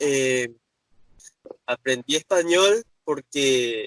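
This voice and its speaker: In a normal speaking voice, a man talks at a fairly high pitch with ordinary pitch variation, in a dry, close sound with no echo. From Paraguay. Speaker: guest. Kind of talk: interview. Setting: in a car, driving.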